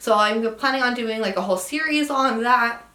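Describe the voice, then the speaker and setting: In a western US accent, a woman talks at a fairly quick pace with ordinary pitch variation. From Utah. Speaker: travel vlogger. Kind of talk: casual vlog monologue. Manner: casual with fillers.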